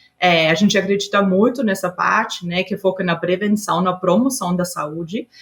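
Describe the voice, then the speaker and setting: Somewhat breathy, a woman at medium pitch speaks with an Austrian accent at a moderate pace. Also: ordinary pitch variation, hardly any pauses. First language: German (speaking Portuguese). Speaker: HR executive. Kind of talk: podcast interview. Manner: hesitant, many filler sounds.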